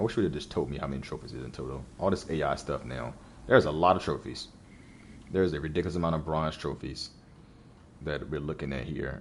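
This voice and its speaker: This man talks at a fairly quick pace with vocal fry. His pitch is very deep and low, with ordinary variation. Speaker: gaming streamer. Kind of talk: casual let's play commentary. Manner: halting, repetitive. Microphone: new mic setup.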